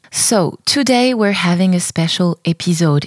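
With a French accent, a woman speaks fairly slowly at a fairly low pitch, her sound dry and close with no echo. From southern France. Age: 30s. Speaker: podcast host, dancer and choreographer. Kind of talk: casual monologue.

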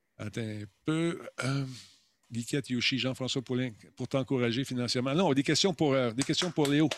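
A man with a Quebec accent speaks at a medium pitch. He leaves long, frequent pauses. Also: ordinary pitch variation, moderate pace, very clean recording, silent background. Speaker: podcaster and former TV host. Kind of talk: casual chat. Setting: live stream. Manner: animated.

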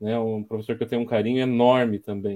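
This man's voice has a dark, mellow tone. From São Carlos, São Paulo state, Brazil. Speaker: materials engineer and professor. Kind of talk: casual interview.

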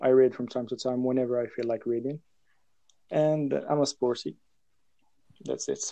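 A man's dark, mellow voice at a fairly quick pace, with fairly even intonation and long, frequent pauses. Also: medium pitch for a man. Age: young. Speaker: podcast guest. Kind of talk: casual chat.

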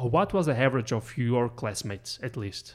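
It's a man with a plain, everyday voice, pitched at a medium level. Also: very clean recording, silent background. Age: 40s. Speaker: podcast host. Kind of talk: casual chat.

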